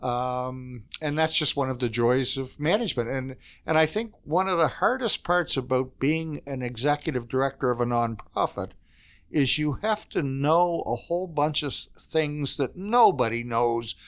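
Speaking at a moderate pace, a man with an Eastern Canadian accent has a fairly high pitch and ordinary pitch variation. The recording is very clean with a silent background. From Canada, Fredericton, New Brunswick. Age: 60s. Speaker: executive director of a social services organization. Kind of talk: casual interview chat.

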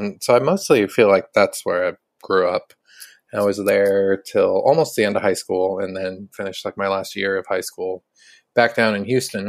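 A man with an American accent at a moderate pace, dry, close sound with no echo on a very clean recording with a silent background. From Omaha, Nebraska, US Midwest. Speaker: musician. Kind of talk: interview. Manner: soft-spoken; halting.

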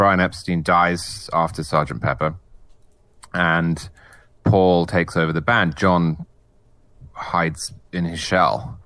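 A man with an English accent, very deep and low in pitch, bright and sharp in tone with vocal fry, ordinary pitch variation, a very slow pace and long, frequent pauses, over a quiet background. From England. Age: 30s. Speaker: magazine editor and author. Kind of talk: casual chat.

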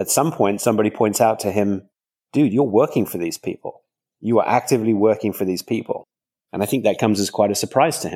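In a southern English accent, a man with a fairly low pitch and a dark, mellow tone talks at a very fast pace with ordinary pitch variation, recorded very cleanly against a silent background with a dry, close sound and no echo. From England, countryside outside London. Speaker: crime novelist. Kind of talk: interview.

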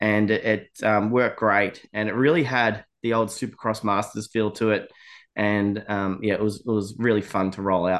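The speaker uses fairly even intonation at a moderate pace, with an Australian accent. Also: man, fairly low pitch for a man. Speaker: motorsport event promoter. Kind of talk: podcast interview. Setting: remote from a cabin. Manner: casual, hesitant with many fillers.

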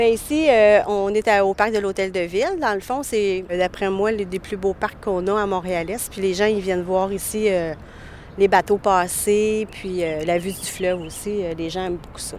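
Fairly even intonation runs through a plain, everyday voice. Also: woman, medium pitch for a woman. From Hochelaga-Maisonneuve, Montreal. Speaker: actress and festival director. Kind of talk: interview testimony.

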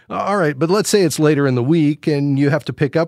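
In an unremarkable speaking voice, a man with a fairly high pitch talks at a fairly quick pace, the sound dry and close with no echo. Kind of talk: call-in radio advice show. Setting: radio studio, pre-recorded. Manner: warm, encouraging.

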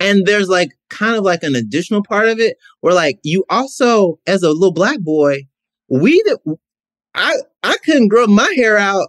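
Lively in intonation, a man speaks at a high pitch and a moderate pace. The sound is dry and close with no echo. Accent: American. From US South, Mississippi. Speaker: podcast guest. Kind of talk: casual chat.

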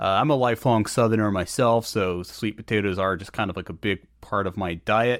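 At a moderate pace, a man with an unremarkable speaking voice and an American accent speaks at medium pitch with ordinary pitch variation, in a very clean recording with a silent background. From North Carolina. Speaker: podcast host. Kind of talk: interview conversation; scripted narration.

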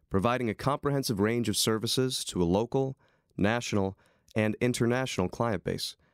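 An ordinary speaking voice from a man, with ordinary pitch variation and a moderate pace, dry and close with no echo in a very clean recording with a silent background. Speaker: announcer. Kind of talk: sponsor announcement.

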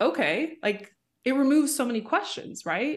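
A woman with a Canadian accent over a quiet background. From Canada, Vancouver suburbs. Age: 30s. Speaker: social media marketing coach. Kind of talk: interview.

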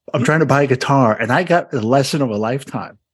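A man speaks at a fairly quick pace, with a fairly high pitch. He has an unremarkable speaking voice. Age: 50s. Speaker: podcast host. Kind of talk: interview.

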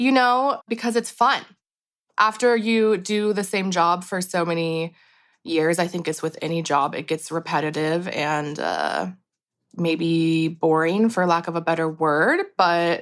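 In a very clean recording with a silent background, a woman with a plain, everyday voice speaks in a fairly low pitch with ordinary pitch variation. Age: 30s. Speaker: hair colorist. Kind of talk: interview. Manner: casual, many filler words.

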